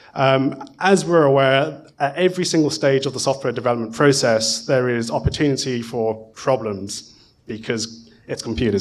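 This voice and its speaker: A man speaks with a British accent at a moderate pace. His intonation is lively. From UK. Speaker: conference speaker, software professional; conference speaker. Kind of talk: conference talk. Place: hall. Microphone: podium.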